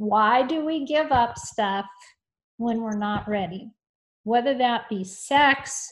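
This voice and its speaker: Over a quiet background, a woman with an ordinary speaking voice talks at a fairly slow pace, fairly high in pitch with ordinary pitch variation. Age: 50s. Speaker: author. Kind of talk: casual chat.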